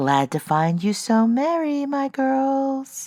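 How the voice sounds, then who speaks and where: A put-on character voice, female-sounding and high-pitched, moves along at a very slow pace. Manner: cheery.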